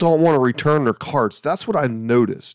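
Speaking with a Southern US accent, a man uses a fairly high pitch and lively intonation at a moderate pace, on a very clean recording with a silent background and a dry, close sound with no echo. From Alabama. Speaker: podcast host and campground manager. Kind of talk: casual solo podcast monologue. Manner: casual, humorous, rambling.

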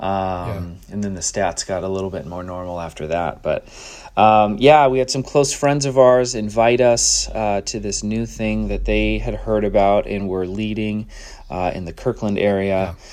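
With an unremarkable speaking voice, a man talks at a moderate pace, fairly low in pitch and with ordinary pitch variation. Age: 30s. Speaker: podcast co-host, church cohort graduate. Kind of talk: casual testimony chat.

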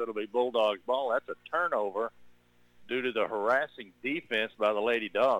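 Speaking at a moderate pace, a man uses ordinary pitch variation in an unremarkable speaking voice. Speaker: radio play-by-play announcer. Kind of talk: live sports commentary. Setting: gym, radio broadcast.

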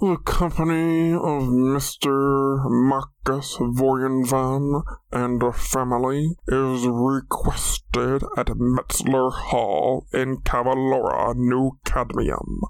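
A man of medium pitch does a put-on character voice at a very slow pace with hardly any pauses. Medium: audio drama. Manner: formal.

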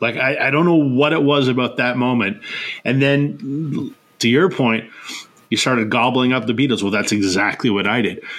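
Here is an unremarkable speaking voice with a Canadian accent. It moves at a moderate pace with ordinary pitch variation and very even loudness. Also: man, medium pitch for a man. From Canada. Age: 40s. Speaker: podcast host. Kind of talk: casual chat.

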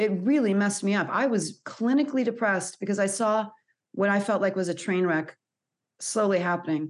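At a fairly quick pace, an unremarkable speaking voice with an American accent keeps very even loudness and ordinary pitch variation over a quiet background. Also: woman, medium pitch for a woman. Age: 40s. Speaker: anxiety coach. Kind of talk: interview.

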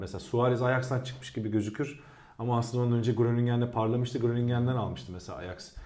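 In a room with audible echo, a man talks at a very fast pace in a somewhat breathy, dark, mellow voice of medium pitch with ordinary pitch variation. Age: 30s. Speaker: football pundit. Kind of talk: casual chat.

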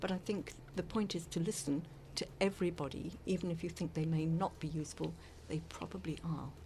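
Her fairly low-pitched voice has a dark, mellow tone and vocal fry, moving at a fairly quick pace with fairly even intonation. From South Africa, Cape Town. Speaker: former journalist and radio presenter. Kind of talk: interview.

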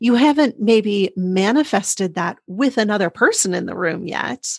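In a normal speaking voice, a woman talks at a medium pitch and a fairly slow pace with ordinary pitch variation. The sound is dry and close with no echo, over a quiet background. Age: 40s. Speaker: sex and intimacy coach, podcast host. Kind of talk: interview conversation.

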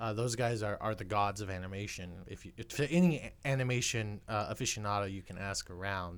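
Speaking in an ordinary speaking voice, a man talks at a fairly quick pace with hardly any pauses. His pitch is fairly low, and the recording is very clean with a silent background. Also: ordinary pitch variation. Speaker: podcast host. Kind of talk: casual chat.

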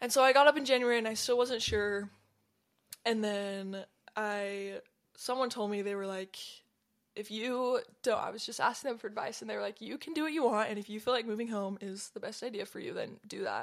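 A woman with a plain, everyday voice, an American accent, a fairly high pitch, fairly even intonation and big swings in loudness, in a very clean recording with a silent background. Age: young. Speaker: college student and soccer player. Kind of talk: casual interview chat. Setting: studio.

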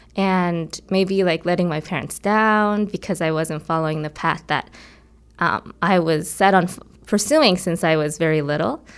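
On a very clean recording with a silent background, a woman with an unremarkable speaking voice and an American accent talks at a moderate pace, fairly low in pitch with ordinary pitch variation. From Korea, then Nebraska from age eleven. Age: 20s. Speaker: violinist. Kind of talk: interview conversation. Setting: music studio.

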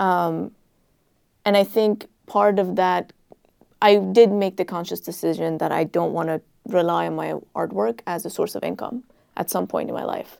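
A woman at a moderate pace with long, frequent pauses, on a very clean recording with a silent background. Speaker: artist, writer and adjunct professor. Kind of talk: panel conversation.

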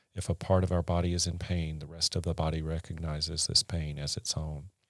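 With a Southern US accent, a man speaks at a fairly quick pace in a very deep, low, monotone voice, the recording very clean with a silent background and a dry, close sound with no echo. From US South, rural Mississippi. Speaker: podcast guest, host's husband. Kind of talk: casual interview, life story. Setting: studio.

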